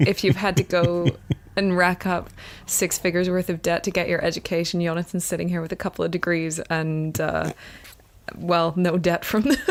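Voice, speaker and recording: A woman's fairly low voice at a moderate pace, with fairly even intonation. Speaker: podcast co-host. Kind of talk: casual chat. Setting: studio with microphones, on a couch.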